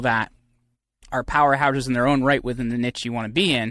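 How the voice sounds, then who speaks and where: This man's voice has a bright, sharp tone at a medium pitch. His intonation is fairly even. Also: dry, close sound with no echo. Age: 30s. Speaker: entrepreneur and PR agency founder. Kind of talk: casual interview chat.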